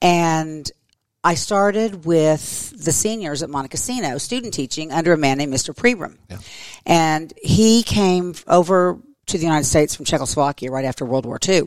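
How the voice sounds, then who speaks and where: A woman with an American accent and a very deep, low pitch, moderate in pace, with lively intonation and big swings in loudness. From Oklahoma, Tulsa. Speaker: schoolteacher. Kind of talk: interview conversation.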